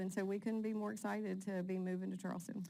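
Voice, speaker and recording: This woman talks at a fairly quick pace with an American accent. Her pitch is medium, with ordinary variation. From southern West Virginia, Fayette County. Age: 50s. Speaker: nonprofit president. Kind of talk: interview.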